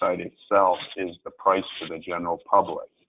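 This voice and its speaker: The speaker keeps a monotone, flat intonation at a moderate pace. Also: man. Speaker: alternative fuels expert presenter. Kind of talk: webinar presentation. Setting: webinar from desk.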